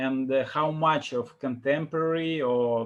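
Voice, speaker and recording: A man with a Russian accent speaks with fairly even intonation. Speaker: interviewer. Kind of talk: interview.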